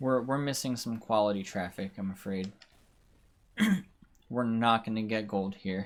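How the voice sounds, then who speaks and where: The speaker has an American accent and an animated tone, at a moderate pace with long, frequent pauses. The recording is very clean, with a silent background. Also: man, fairly low pitch for a man. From United States. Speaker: video game livestreamer. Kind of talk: live gameplay commentary. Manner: casual, animated.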